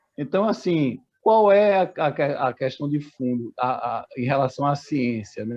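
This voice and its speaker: A man's lively intonation at a fairly slow pace, in a dry, close sound with no echo. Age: 60s. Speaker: bank employee and activist. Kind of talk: meeting discussion contribution. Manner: halting.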